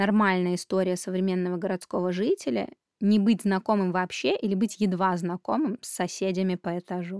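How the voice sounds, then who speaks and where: Moderate pace, dry close sound with no echo, a very clean recording over a silent background, an unremarkable speaking voice. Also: woman. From Belarus. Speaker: parenting podcast host. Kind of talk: podcast monologue.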